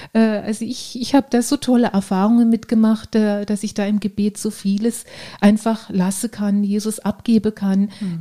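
A woman with a fairly high pitch speaks at a moderate pace in a dark, mellow tone that is somewhat breathy, her intonation monotone and flat. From Baden, southwest Germany (Ortenau). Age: 40s. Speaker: fitness trainer and nurse. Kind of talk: casual interview.

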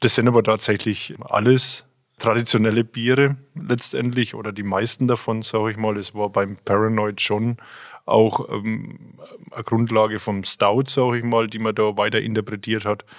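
Very clean recording with a silent background of a man with an unremarkable speaking voice, medium pitch, fairly even intonation and moderate pace. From Franconia, Germany (Jura east of Bamberg). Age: 40s. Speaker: brewer. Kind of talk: casual interview.

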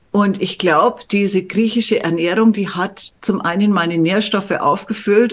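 With a plain, everyday voice, a woman talks at a moderate pace in a medium pitch with ordinary pitch variation. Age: 60s. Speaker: medical journalist and coach. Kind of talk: casual chat.

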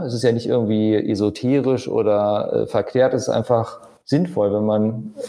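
Here a man talks at a moderate pace in a medium pitch, with ordinary pitch variation. His tone is dark and mellow. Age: 40s. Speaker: architect and property developer. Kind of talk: casual interview. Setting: on location in a holiday building.

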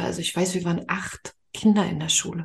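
A somewhat breathy woman's voice at a moderate pace, with ordinary pitch variation. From Mecklenburg-Vorpommern, eastern Germany. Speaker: spiritual money coach. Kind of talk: podcast interview.

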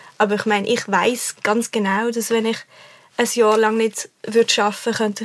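The speech moves at a fairly quick pace in a monotone, flat intonation, with noticeable background noise. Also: woman. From Switzerland, Basel. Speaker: singer-songwriter. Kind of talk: casual chat.

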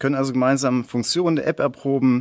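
Over a silent background in a very clean recording, a man with an unremarkable speaking voice talks fairly quickly at a fairly high pitch, with ordinary pitch variation. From Sauerland, Germany. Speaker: sports scientist, research associate. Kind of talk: interview.

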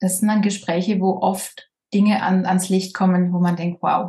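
In a slight Swabian accent, a woman speaks fairly slowly, somewhat breathy, at medium pitch with monotone, flat intonation. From southern Germany, Baden-Württemberg. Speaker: social worker and medium. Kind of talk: casual interview.

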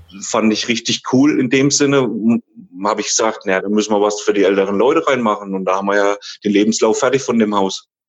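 The man's voice sits fairly low and keeps a fairly even intonation. He talks at a very fast pace. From Thuringia, Germany. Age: 30s. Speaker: care home manager. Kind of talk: interview.

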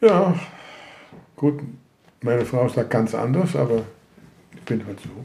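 With a Dutch accent, a man speaks at a fairly slow pace with a medium pitch and lively intonation. His loudness swings widely, and long, frequent pauses break up his speech. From Netherlands. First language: Dutch (speaking German). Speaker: Holocaust survivor. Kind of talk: interview testimony. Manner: halting.

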